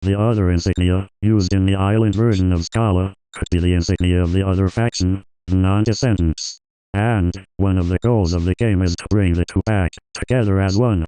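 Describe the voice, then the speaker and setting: A man speaks in a put-on character voice with a very deep, low pitch. His pace is fairly quick against a quiet background. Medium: solo performance. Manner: flat, monotone, mechanical.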